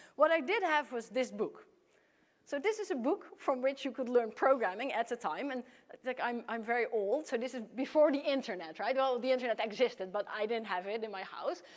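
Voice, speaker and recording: Lively intonation marks this woman's high voice as she speaks at a fairly quick pace in a Dutch accent. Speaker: computer science professor. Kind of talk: conference keynote. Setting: stage with audience.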